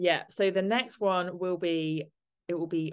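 Her tone is warm and upbeat as the woman speaks at a fairly slow pace. Behind her, the background is quiet. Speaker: podcast host and sober coach. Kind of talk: podcast intro and interview chat. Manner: warm, upbeat.

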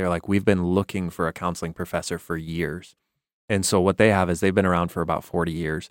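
A man's very deep, low voice with an American accent, very fast and flat in a monotone, on a very clean recording with a silent background. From US Midwest. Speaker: missionary. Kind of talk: casual chat. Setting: studio.

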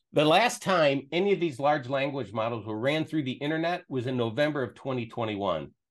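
Speaking at a fairly quick pace with hardly any pauses, a man uses lively intonation in a plain, everyday voice pitched fairly high. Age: 60s. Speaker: tech specialist. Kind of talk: casual chat with screen demo. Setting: video call.

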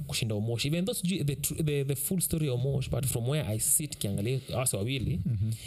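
A man's medium-pitched voice at a very fast pace, with hardly any pauses, very even loudness and noticeable background noise. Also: ordinary pitch variation. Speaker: podcast co-host. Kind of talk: casual chat.

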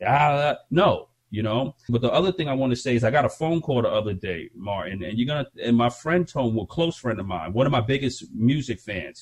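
Somewhat breathy and medium in pitch, a man talks at a fairly quick pace with lively intonation and hardly any pauses. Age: 40s. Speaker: hip hop artist and podcast host. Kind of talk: casual chat.

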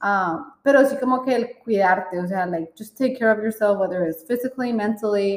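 The pace stays moderate, and pitch variation is ordinary. It is a normal speaking voice. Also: woman. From Colombia. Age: 30s. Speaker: podcast co-host. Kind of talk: casual chat.

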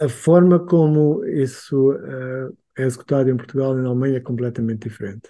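A man with a medium pitch, ordinary pitch variation and a fairly quick pace. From Angola. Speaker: freelance designer. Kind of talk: casual chat. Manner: halting.

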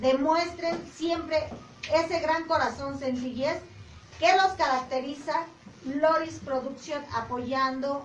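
A woman talks very slowly, and audible room echo follows her words. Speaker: sonidero organization member. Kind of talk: casual chat.

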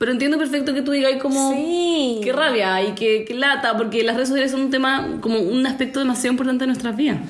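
A woman with a Chilean accent talks very fast with hardly any pauses, her high-pitched voice holding very even loudness amid noticeable background noise and audible room echo. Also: ordinary pitch variation. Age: 20s. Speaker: podcast host. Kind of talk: casual chat.

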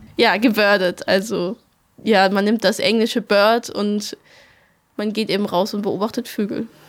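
A woman speaks at a fairly slow pace and medium pitch in a monotone, flat intonation, with long, frequent pauses. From Swabia, near Stuttgart. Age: 19. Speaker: ecological volunteer. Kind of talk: interview. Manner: hesitant, many fillers.

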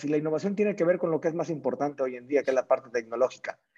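A man's fairly high, dark and mellow voice with a Mexican accent, very fast pace and very wide pitch swings. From Mexico, small town in Jalisco. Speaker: entrepreneur. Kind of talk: casual interview chat.

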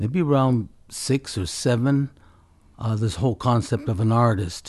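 The man's voice is somewhat breathy. The background is quiet. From California Central Valley (Fresno). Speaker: mixed media artist. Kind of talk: casual interview. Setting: artist's studio.

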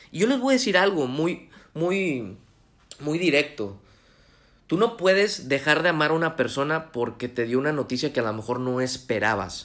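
His pitch fairly high, a man swings very widely up and down in pitch while keeping a moderate pace. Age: 20s. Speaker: motivational podcast host. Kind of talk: motivational monologue. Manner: halting.

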